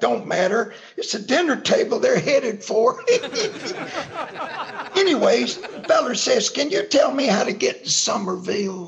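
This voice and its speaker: Through clear background noise, a man speaks with long, frequent pauses. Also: moderate pace. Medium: audio drama. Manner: drawling, cantankerous.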